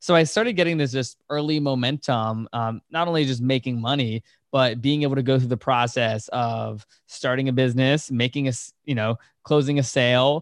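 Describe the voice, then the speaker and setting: Using a plain, everyday voice, a man with an American accent talks at a fairly quick pace and medium pitch, his intonation fairly even, the sound dry and close with no echo. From Virginia, US. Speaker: entrepreneur and podcast host. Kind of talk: interview conversation.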